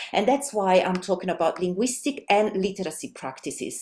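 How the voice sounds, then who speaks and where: A woman speaks with an Italian accent at a moderate pace. Her medium-pitched voice has a dark, mellow tone. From Italy. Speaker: language teacher and researcher. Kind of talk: webinar presentation. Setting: online webinar. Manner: hesitant, many fillers.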